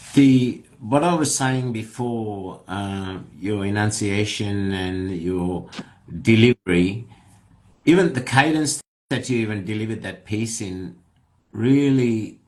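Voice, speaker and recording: A man at a fairly low pitch, very slow pace and ordinary pitch variation, with audible room echo. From Australia. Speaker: podcast host. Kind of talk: casual interview chat. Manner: hesitant, many fillers.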